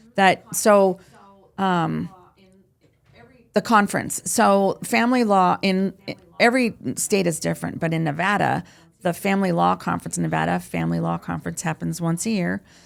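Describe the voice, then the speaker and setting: A woman speaks at a moderate pace. She leaves long, frequent pauses. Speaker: real estate agent. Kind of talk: interview. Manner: high energy.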